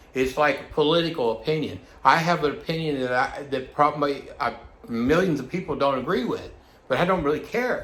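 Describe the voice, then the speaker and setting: A man talks at a moderate pace with a fairly high pitch. The room echo is audible. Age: 60s. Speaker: vlogger. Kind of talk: personal monologue vlog. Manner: halting, many fillers and restarts; agitated.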